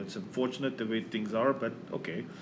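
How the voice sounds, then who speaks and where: A man with a Flemish accent at a fairly quick pace, with audible room echo. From Belgium (Flanders). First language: Dutch (Flemish). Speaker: math lecturer. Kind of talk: lecture. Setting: recorded video for online course. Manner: halting, many fillers and restarts.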